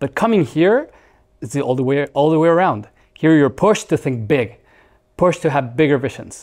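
A man's fairly high voice in a Mexican accent, with lively intonation, a fairly quick pace and a quiet background. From Mexico. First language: Spanish. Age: 40s. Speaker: startup founder; guest. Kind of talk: interview. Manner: halting. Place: studio.

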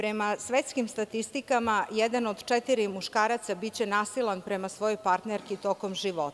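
At a moderate pace, the voice shows ordinary pitch variation. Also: woman. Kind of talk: parliamentary speech. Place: hall. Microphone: podium.

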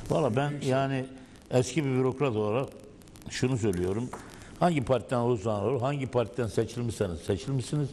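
Light background noise sits behind a dark, mellow tone delivered at a fairly quick pace with ordinary pitch variation. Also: man, medium pitch for a man. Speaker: former municipal council member. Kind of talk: panel discussion. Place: studio. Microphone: lapel.

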